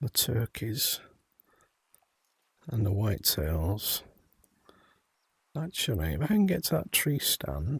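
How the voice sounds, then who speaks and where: Very slow with long, frequent pauses, a man's medium-pitched voice carries vocal fry and very wide pitch swings. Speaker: gaming streamer. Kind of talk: gameplay commentary. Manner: whispering at times; halting, self-correcting.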